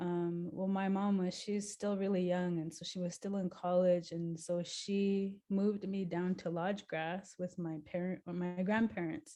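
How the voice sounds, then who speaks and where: With hardly any pauses, a woman speaks at a fairly slow pace in a dark, mellow tone of medium pitch, her intonation fairly even. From Montana, Flathead Reservation. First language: Crow. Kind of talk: interview. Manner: hesitant, many fillers.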